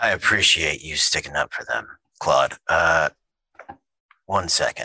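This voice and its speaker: A put-on, raspy character voice from a man, delivered at a moderate pace. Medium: actual play. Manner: smooth, ingratiating.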